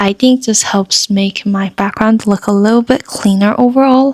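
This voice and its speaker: A soft-spoken woman talks at a moderate pace and medium pitch. The sound is dry and close, with no echo. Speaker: artist and small business owner vlogger. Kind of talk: casual vlog narration.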